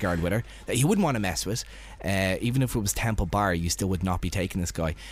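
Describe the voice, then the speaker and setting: With an Irish accent, a man talks at a fairly low pitch with ordinary variation and vocal fry. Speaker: radio host. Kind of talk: casual chat. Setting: studio.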